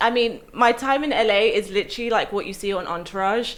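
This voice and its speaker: A woman with an English accent speaks at a fairly quick pace and a fairly high pitch. Her pitch variation is ordinary, and the recording is very clean with a silent background. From West London, England. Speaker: actress. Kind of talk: casual chat.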